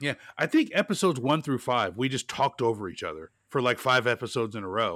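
With an American accent, a man speaks very fast at a medium pitch, his voice swinging very widely in pitch on a very clean recording with a silent background. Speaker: podcast host. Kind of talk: casual chat. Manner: animated.

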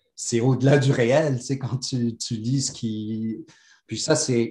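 Somewhat breathy speech is heard here. Its tone is dark and mellow. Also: man. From Morocco. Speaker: podcast guest. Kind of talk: casual spiritual interview.

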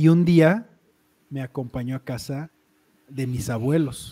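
With a Mexican accent, this man has a dark, mellow tone, a medium pitch and ordinary pitch variation. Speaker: podcast host. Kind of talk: casual chat. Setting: live stream.

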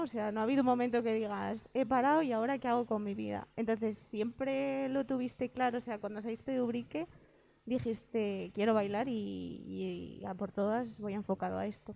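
A woman with a fairly high pitch and a dark, mellow tone talks at a moderate pace. She leaves hardly any pauses. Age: 20s. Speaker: podcast co-host. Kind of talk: casual interview.

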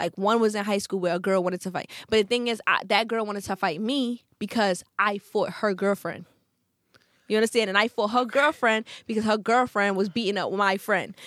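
Fairly quick speech with fairly even intonation, dry and close with no echo, on a very clean recording with a silent background. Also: woman, medium pitch for a woman. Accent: Brooklyn. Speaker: podcast host. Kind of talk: casual chat. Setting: studio. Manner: aggressive-sounding, forceful.

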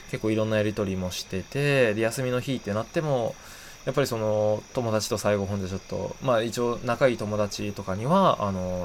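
At a fairly quick pace, a man speaks in a fairly low voice. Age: 20s. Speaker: podcast host. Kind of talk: casual solo talk.

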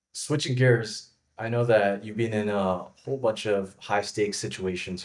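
Using a plain, everyday voice, a man talks at a fairly slow pace with fairly even intonation. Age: young. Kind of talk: interview. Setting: video call.

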